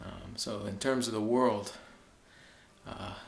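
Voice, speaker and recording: A man with an American accent speaks at a medium pitch in a monotone, flat way. Audible room echo is present. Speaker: fitness video blogger. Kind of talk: video blog monologue. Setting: basement at home at night. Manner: soft-spoken; halting.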